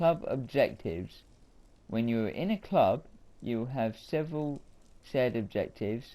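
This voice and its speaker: Mumbling at a fairly slow pace, a man with a medium pitch and a dark, mellow tone uses lively intonation and takes long, frequent pauses. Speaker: gaming YouTuber. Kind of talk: gameplay commentary.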